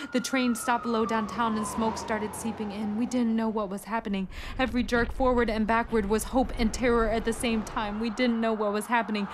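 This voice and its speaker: A woman with an American accent speaks fairly quickly at a fairly high pitch in a monotone, flat intonation, with noticeable background noise. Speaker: spoken word poet. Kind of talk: spoken word poetry performance.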